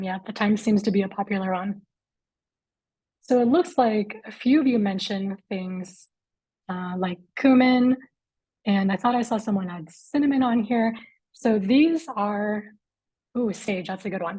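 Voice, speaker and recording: With a dark, mellow tone and a somewhat breathy quality, a woman of medium pitch talks at a fairly slow pace, leaving long, frequent pauses. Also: ordinary pitch variation. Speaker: chef and culinary director. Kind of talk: live webinar presentation.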